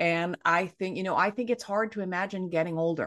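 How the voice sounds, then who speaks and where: A woman with a normal speaking voice, fairly low in pitch, with ordinary pitch variation. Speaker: author and anti-ageism activist. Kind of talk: interview discussion. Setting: video call.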